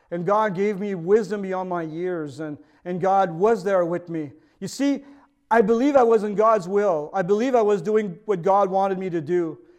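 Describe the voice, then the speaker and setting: A voice with a Quebec accent and ordinary pitch variation is heard over a quiet background. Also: man, high pitch for a man, moderate pace. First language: French. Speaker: pastor. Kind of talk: sermon. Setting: video recording for online service.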